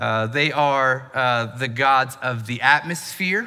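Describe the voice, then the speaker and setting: A man with a Southern US accent, medium pitch and a bright, sharp tone. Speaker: pastor. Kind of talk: sermon.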